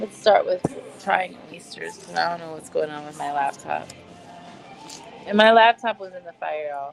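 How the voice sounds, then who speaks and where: A woman at a moderate pace, with long, frequent pauses, big swings in loudness and music playing behind her. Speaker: podcast host. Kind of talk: casual livestream chat. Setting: restaurant, eating oysters while streaming. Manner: casual, chatty. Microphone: laptop mic, poor sound.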